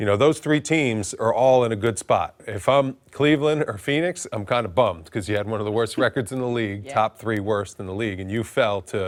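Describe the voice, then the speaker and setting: The man has a normal speaking voice at a medium pitch. He moves at a fairly quick pace with ordinary pitch variation. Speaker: sports analyst. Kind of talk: sports talk show analysis.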